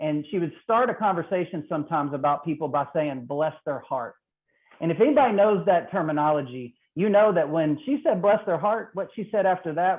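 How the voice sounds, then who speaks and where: The speech moves at a fairly quick pace in a Mississippi accent. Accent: Southern US (Mississippi). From Mississippi, US South. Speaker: trainer on racial equity. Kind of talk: training webinar presentation. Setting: online call.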